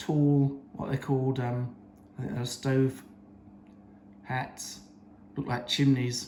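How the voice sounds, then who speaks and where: Here is a man with a British accent and a medium pitch. He talks at a very slow pace. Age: 70s. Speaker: coin collector. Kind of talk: show-and-tell talk. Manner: halting.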